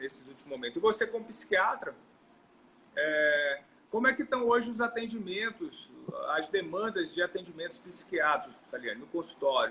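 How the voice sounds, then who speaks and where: A man speaks in a raised, projected voice with a high pitch. His pitch swings very wide, and his loudness swings a lot. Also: moderate pace. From northeastern Brazil. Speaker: longevity medicine doctor. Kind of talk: interview. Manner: halting.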